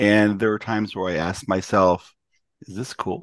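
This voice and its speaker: A man with a normal speaking voice, fairly low in pitch, talks at a fairly quick pace in a dry, close sound with no echo against a quiet background. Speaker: podcast host. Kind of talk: interview.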